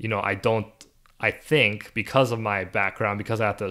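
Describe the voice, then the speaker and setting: On a very clean recording with a silent background, a man speaks at a fairly low pitch with fairly even intonation and a bright, sharp tone. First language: not English (refugee, English second language). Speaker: podcast co-host. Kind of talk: casual chat.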